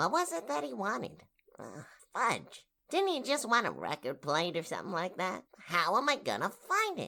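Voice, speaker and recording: A female-sounding voice does a put-on character voice at a middle pitch. The pace is moderate. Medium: audio drama.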